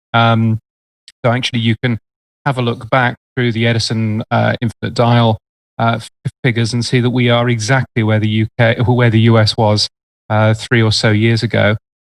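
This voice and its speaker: A man with a British accent and medium pitch speaks at a moderate pace in a monotone, flat delivery, the sound dry and close with no echo. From UK. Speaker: radio and podcast industry expert. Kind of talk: casual chat.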